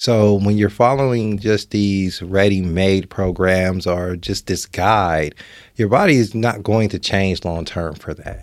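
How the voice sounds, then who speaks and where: In a very clean recording with a silent background, a man with an American accent speaks fairly slowly at fairly low pitch. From Nebraska. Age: 30s. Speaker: fitness trainer and entrepreneur. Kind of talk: podcast interview. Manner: animated.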